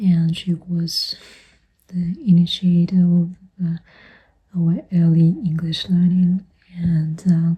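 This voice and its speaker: At a very slow pace, the speaker talks in a non-native accent with long, frequent pauses. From Europe. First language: not English. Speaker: vlogger sharing personal memories. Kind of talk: casual personal vlog monologue. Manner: hesitant with many fillers.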